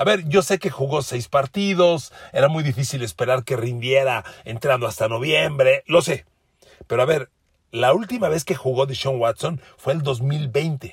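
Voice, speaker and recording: An animated, somewhat breathy man speaks at a fairly slow pace. His pitch is fairly high, with ordinary variation. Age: 60s. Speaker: sports podcaster. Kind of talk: sports analysis monologue.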